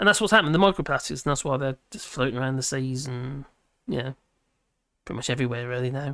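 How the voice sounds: There is vocal fry in a fairly bright tone.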